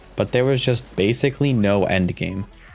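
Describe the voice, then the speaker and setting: A man's intonation is lively, with music in the background. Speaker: gaming content creator. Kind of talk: gaming video essay narration.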